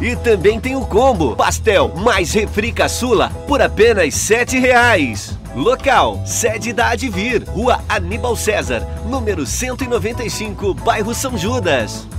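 Over music in the background, a man speaks at a very slow pace with hardly any pauses. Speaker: radio announcer and reporter. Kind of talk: radio commercial announcement.

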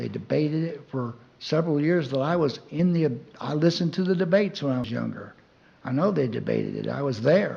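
In a room with audible echo, a man with a fairly high pitch speaks in a somewhat breathy voice with a dark, mellow tone. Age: 70s. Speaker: public commenter. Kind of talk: public comment. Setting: city council meeting.

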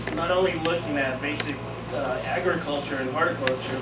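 Loud background noise around a man speaking at a moderate pace. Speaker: presenter. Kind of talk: lecture. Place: classroom. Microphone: camera far.

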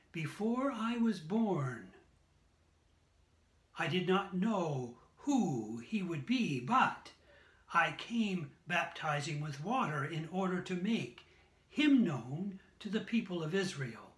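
A man speaks at a very slow pace. Audible room echo surrounds his voice. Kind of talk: scripture reading. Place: home room. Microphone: phone near.

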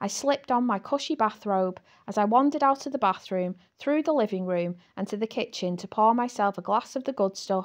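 Lively intonation marks the clip. The reading voice is unforced.

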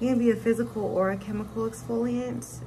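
A woman speaks over noticeable background noise. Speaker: esthetician. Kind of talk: casual consultation. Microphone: phone near.

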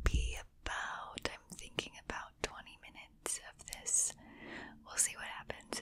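A woman whispers at a fairly slow pace. The sound is dry with no echo, over light background noise. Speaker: whisper video creator. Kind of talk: casual soft chat to viewers. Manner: close intimate whisper into microphone. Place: home room. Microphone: studio mic.

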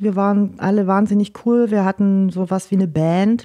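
A woman speaks at medium pitch and a moderate pace. Her tone is dark and mellow. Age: 40s. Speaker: music promoter and PR manager. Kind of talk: casual interview.

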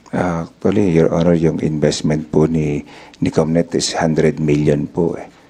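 Over noticeable background noise, a man speaks at a fairly slow pace in a very deep, low voice. His delivery is monotone and flat, with very even loudness. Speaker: town mayor. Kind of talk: testimony at hearing. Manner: deferential.

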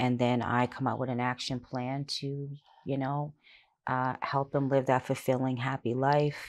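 Her very deep, low voice moves at a moderate pace, and this woman keeps her intonation fairly even. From Halifax, Nova Scotia, Canada; Nova Scotia, Canada. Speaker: life coach and author; life coach. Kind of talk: interview. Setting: studio. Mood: calm, personal, earnest. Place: studio. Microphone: lapel.

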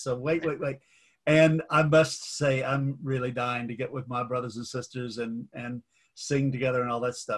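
Somewhat breathy, a man with an American accent speaks at a medium pitch and a moderate pace with ordinary pitch variation. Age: 70s. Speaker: clergyman and forum host. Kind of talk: interview conversation.

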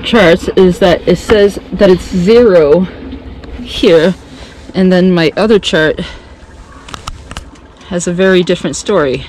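Dry and echo-free over light background noise, a woman talks at a fairly slow pace with ordinary pitch variation. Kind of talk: casual vlog chat. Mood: tense, careful. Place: boat. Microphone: phone near.

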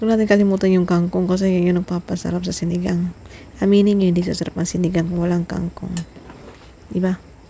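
Her voice fairly low in pitch, a woman speaks at a very fast pace in a monotone, flat intonation. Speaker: vlogger. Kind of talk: cooking vlog. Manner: playful.

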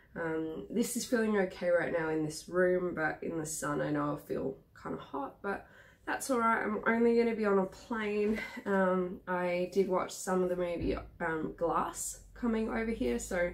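Her pitch variation is ordinary. The woman keeps to a moderate pace. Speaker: vlogger. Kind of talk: casual vlog chat. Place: home room. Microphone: phone near.

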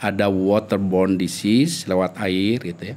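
Speaking fairly slowly with a West Javanese accent, a man uses a fairly low pitch. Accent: Sundanese. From Indonesia, Sundanese region (West Java); West Java, Indonesia. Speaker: epidemiologist; guest. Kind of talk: interview. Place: studio. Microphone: studio mic.

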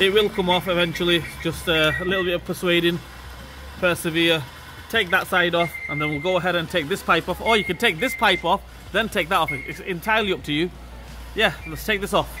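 Clear music plays in the background as the speaker moves at a fairly quick pace. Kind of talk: tutorial. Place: garage.

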